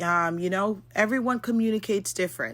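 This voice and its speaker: Loud and bright with a sharp tone, a woman talks at medium pitch and a moderate pace in a very clean recording with a silent background. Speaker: podcast co-host. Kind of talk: casual chat.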